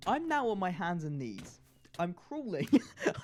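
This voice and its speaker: Speaking with an English accent at a moderate pace, a man uses a high pitch and very wide pitch swings. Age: young. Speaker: gaming YouTuber. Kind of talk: casual chat over gameplay. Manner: stutters, halting.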